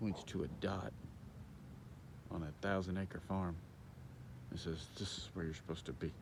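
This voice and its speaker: A man whispering at a moderate pace, with long, frequent pauses and audible room echo. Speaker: hunter vlogger. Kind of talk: casual vlog monologue. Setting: outdoors in a field.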